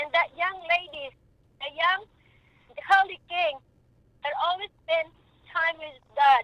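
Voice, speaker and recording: Extremely high in pitch, a woman's bright, sharp voice is raised and projected, with fairly even intonation and big swings in loudness. She speaks at a fairly slow pace with long, frequent pauses. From Philippines. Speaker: mother of a homicide victim. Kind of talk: radio talk show interview.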